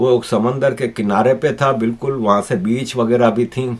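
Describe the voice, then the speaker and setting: Here is a plain, everyday voice. It belongs to a man with a medium pitch. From Pakistan, Karachi. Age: 60s. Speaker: political commentator, YouTuber. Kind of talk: news commentary monologue.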